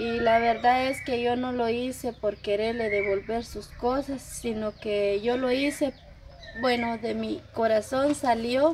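Against noticeable background noise, a woman speaks at a fairly slow pace with fairly even intonation. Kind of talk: emotional personal account to camera. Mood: apologetic, earnest. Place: farm. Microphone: camera far.

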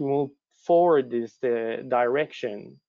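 A man with a Quebec accent speaks at a fairly slow pace with a fairly high pitch and ordinary pitch variation, the sound dry with no echo and the background quiet. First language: French. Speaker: lean management consultant. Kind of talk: webinar presentation. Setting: online webinar. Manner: halting, frequent fillers. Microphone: video call.

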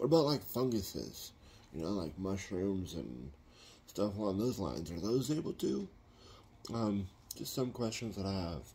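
A man's fairly low, somewhat breathy voice with a dark, mellow tone, very wide pitch swings and long, frequent pauses. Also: moderate pace. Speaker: home gardener vlogger. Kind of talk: casual vlog chat. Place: home room. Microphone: phone near.

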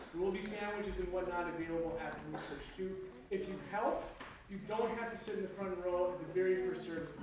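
Strong room echo and noticeable background noise surround a man speaking. He keeps a moderate pace with ordinary pitch variation. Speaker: pastor. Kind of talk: church announcements and prayer. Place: church.

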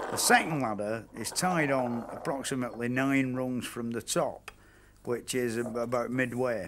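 A man talks at a fairly slow pace. Noticeable background noise runs underneath. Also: fairly even intonation. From England. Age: 50s. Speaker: steeplejack. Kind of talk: documentary explanation on the job. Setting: outdoors, on a chimney. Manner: casual, hesitant, conversational. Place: open country. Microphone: lapel.

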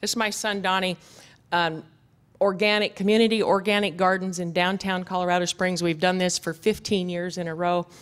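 In an American accent, a woman talks at a moderate pace with monotone, flat intonation. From US West (ranch country). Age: 50s. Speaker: goat herder and land restoration expert; conference presenter. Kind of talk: conference talk with slides. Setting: stage with audience. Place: hall.

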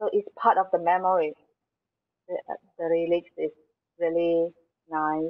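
With a quiet background, the voice keeps a monotone, flat intonation at a moderate pace, broken by long, frequent pauses. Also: woman, fairly low pitch for a woman. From Malaysia, Selangor. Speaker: artist. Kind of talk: interview. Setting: video call. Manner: halting. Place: studio. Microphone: earbuds.

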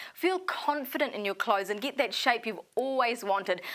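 Over noticeable background noise, a woman with a New Zealand accent speaks in a fairly high voice with an upbeat tone and lively intonation. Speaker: shopping channel presenter. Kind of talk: infomercial. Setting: studio. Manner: upbeat, persuasive, urgent sales patter.

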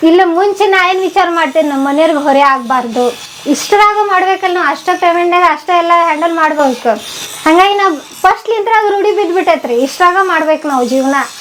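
Noticeable background noise sits behind a woman with a North Karnataka accent whose extremely high voice shows ordinary pitch variation. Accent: North Karnataka Kannada. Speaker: cooking YouTuber. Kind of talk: interview. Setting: her home.

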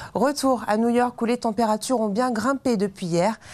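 The pace of this woman's speech is moderate. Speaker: weather presenter. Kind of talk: TV weather forecast, scripted and read to camera. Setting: TV studio. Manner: formal, measured and even, clear professional delivery. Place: studio. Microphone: lapel.

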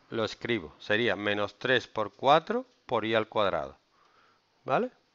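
Against a quiet background, a man is speaking. He goes at a very slow pace. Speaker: math teacher. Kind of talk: lecture. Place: classroom.

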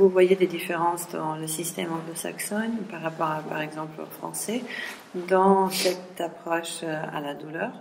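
This woman talks at a fairly slow pace with fairly even intonation and a fairly low pitch. Light background noise sits behind her. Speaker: seminar organizer. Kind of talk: seminar introduction. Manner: halting. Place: classroom. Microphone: camera far.

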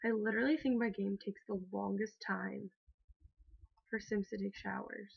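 A woman with vocal fry, fairly even intonation and long, frequent pauses. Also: medium pitch for a woman, moderate pace. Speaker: gaming video creator. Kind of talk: let's play commentary. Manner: casual, rambling with self-corrections.

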